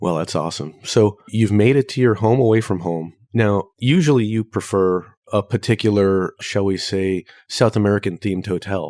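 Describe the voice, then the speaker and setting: Deadpan and dark, mellow in tone, a man with a fairly low voice speaks at a moderate pace on a very clean, dry, close recording with a silent background and no echo. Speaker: travel podcast co-host. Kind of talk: casual chat.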